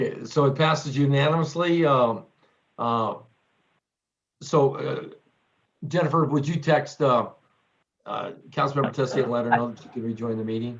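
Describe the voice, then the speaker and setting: A man's fairly high, somewhat breathy voice at a moderate pace, with ordinary pitch variation and long, frequent pauses. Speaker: mayor. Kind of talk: council meeting chairing. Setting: video conference.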